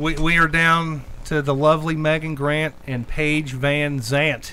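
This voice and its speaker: A man speaks in a fairly high pitch with flat, monotone intonation. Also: fairly slow pace. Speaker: podcast host. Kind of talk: casual chat. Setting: studio. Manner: halting.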